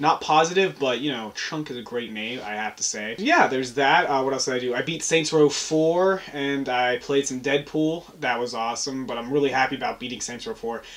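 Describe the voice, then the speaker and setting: A man speaks at a fairly quick pace with hardly any pauses, his pitch medium and its variation ordinary. Noticeable background noise runs under the recording. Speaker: vlogger. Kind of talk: casual chat. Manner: soft-spoken.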